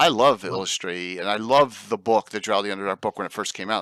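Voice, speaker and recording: A man speaks at a fairly quick pace in a bright, sharp tone, his pitch fairly low with ordinary variation. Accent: South Jersey. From South Jersey near Philadelphia.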